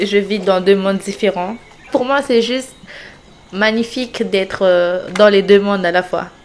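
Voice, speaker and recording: A woman speaks at a medium pitch and a very slow pace. Noticeable background noise runs underneath. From French Guiana. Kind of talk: interview answer.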